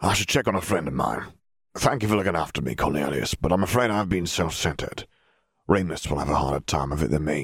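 In a put-on character voice, a man speaks very fast with a very deep, raspy pitch and lively intonation. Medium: read story.

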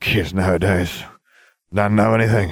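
In a put-on character voice, a man speaks at a moderate pace with a fairly low, raspy, rumbling sound. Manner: slurred, grumbling.

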